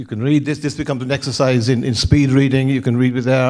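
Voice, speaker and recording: A man speaks very fast with an Irish accent. His pitch sits in the middle range, and his intonation stays fairly even. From Ireland. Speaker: insurance loss prevention director and former mariner. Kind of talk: conference talk. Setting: stage with audience.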